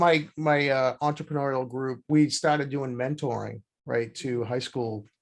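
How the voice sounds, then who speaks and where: The man talks at a moderate pace in a medium pitch, keeping his intonation fairly even. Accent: Boston. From Boston. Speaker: podcast host and accounting firm owner. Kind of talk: interview conversation.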